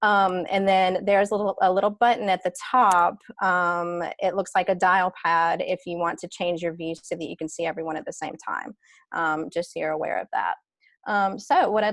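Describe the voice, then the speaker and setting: A woman with a Southern US accent speaks with fairly even intonation. The sound is dry and close with no echo, over a quiet background. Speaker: panel moderator. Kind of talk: webinar panel introduction. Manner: hesitant, many fillers.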